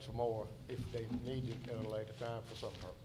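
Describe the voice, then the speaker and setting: Audible room echo surrounds a man with a medium-pitched voice. He speaks at a moderate pace in a flat monotone. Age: 70s. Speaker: site designer witness. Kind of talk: hearing testimony.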